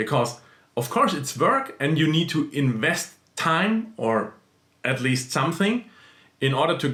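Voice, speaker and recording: A man with a non-native accent talks fairly slowly at a fairly high pitch, his intonation lively. His tone is bright and sharp, and his loudness stays very even. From small country in central Europe. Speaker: YouTuber, side-hustle vlogger. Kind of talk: casual vlog talk. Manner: halting, with fillers.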